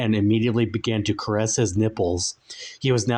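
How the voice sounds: This is a natural reading voice. The text is read aloud in it.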